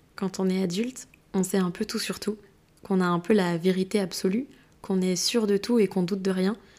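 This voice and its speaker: A woman speaks at a moderate pace and medium pitch, her tone dark and mellow, her intonation fairly even. The recording is very clean with a silent background. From Brittany, France. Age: 20s. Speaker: podcast host, physiotherapist. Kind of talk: casual monologue.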